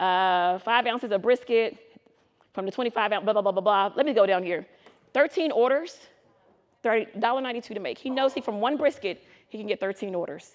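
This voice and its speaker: Her voice is fairly high and animated, with lively intonation and a fairly quick pace. The woman leaves long, frequent pauses. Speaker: food truck business consultant. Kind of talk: conference presentation. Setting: stage with live audience. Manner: fast; animated, casual and interactive.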